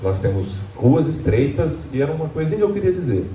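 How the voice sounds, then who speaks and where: Audible room echo and noticeable background noise surround the recording. A man speaks with very wide pitch swings. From Brazil, Lorena (São Paulo state). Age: 60s. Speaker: public hearing participant. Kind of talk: public hearing remarks. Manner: halting.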